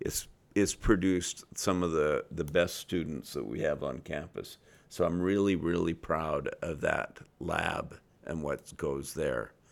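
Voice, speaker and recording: Speaking fairly slowly, a man uses a very deep, low voice with vocal fry and ordinary pitch variation. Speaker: university president. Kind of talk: casual podcast interview.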